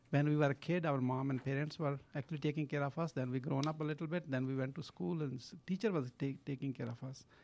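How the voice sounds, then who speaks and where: This man talks at a very fast pace with hardly any pauses. His pitch is fairly high. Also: ordinary pitch variation. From Pakistan. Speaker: social entrepreneur. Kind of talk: interview. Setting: studio.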